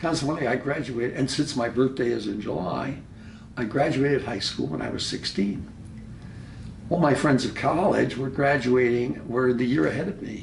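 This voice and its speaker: Medium-pitched male speech at a moderate pace, lively in intonation, with audible room echo. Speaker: historian and genealogist. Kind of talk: casual family interview. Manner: halting.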